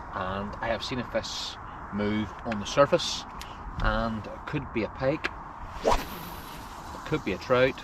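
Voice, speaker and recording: Noticeable background noise runs under this recording. A man talks very slowly at a medium pitch, with ordinary pitch variation. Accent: Northern Irish. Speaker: fishing video host. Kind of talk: outdoor fishing vlog narration. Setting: outdoors on a boat on a lake. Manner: quiet, hushed.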